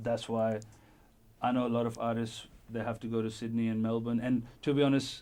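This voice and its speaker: A man talks at a fairly quick pace in a dark, mellow tone. His intonation is monotone and flat. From India. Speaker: rapper and music producer. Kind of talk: radio interview.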